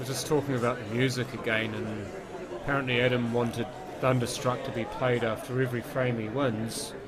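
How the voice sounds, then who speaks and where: A man talks at a fairly quick pace with medium pitch and monotone, flat intonation. Audible room echo and crowd noise sit in the background. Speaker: pool commentator. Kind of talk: live commentary.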